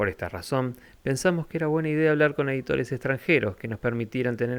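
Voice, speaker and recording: Talking very fast, a man keeps his intonation lively. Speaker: podcast host. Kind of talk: scripted narration.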